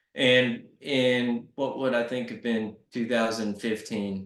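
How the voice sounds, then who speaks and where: A man with a Southern accent speaks at a very slow pace. His medium-pitched voice stays flat and monotone. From US South, Arkansas. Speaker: nonprofit CEO. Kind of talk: interview. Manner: casual.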